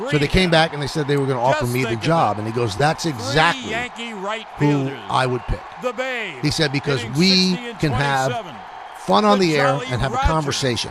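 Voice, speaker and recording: A man at a fairly high pitch with very wide pitch swings and a moderate pace, over noticeable background noise. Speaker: sports broadcaster. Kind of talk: heartfelt spoken tribute.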